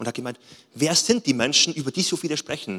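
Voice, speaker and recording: This man's voice sits fairly high in pitch and sounds animated. He talks at a moderate pace. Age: 30s. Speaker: pastor. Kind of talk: sermon.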